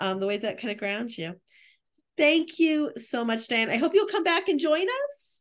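A high-pitched woman's voice with very wide pitch swings at a moderate pace, against a quiet background. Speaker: museum research director. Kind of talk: interview. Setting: video call.

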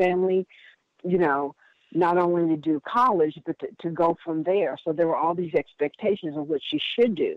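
Here is a woman with an ordinary speaking voice. Her pitch is fairly low and her pace moderate. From US Midwest (Indiana). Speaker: workshop leader, wellbeing coach. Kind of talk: interview.

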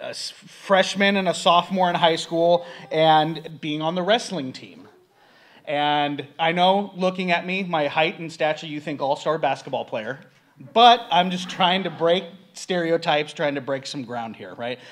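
A man speaks at a fairly slow pace. His pitch is high, with ordinary variation. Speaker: guest preacher. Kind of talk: sermon. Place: church. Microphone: podium.

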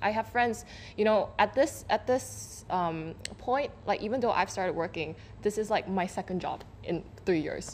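A woman's voice with vocal fry, at a moderate pace, over light background noise. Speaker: media editor; guest. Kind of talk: panel discussion. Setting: studio. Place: studio.

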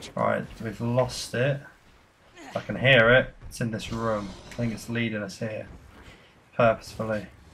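Intonation is monotone and flat, with long, frequent pauses. The pace is moderate. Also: man, medium pitch for a man. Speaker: gaming youtuber. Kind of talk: gameplay commentary. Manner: casual, chatty.

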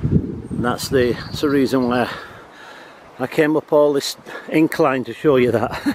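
With noticeable background noise but a dry sound with no echo, a man talks at a fairly slow pace. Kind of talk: casual vlog commentary. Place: forest. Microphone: phone near.

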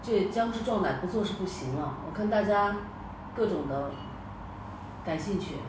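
With lively intonation and a medium pitch, a woman talks at a moderate pace, leaving long, frequent pauses, over noticeable background noise. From northwest China. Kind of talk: casual chat. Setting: video call.

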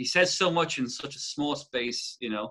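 A man with a Waterford accent has a bright, sharp tone and lively intonation, speaking at a moderate pace against a quiet background. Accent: Irish, Waterford. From Ireland. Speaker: musician and songwriter; interview guest. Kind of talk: casual interview chat. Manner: halting, many false starts. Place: home room. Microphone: webcam.

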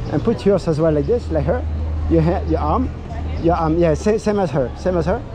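A man speaks at a moderate pace. Faint music sits in the background. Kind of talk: casual directing of portrait subjects. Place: street. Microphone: phone near.

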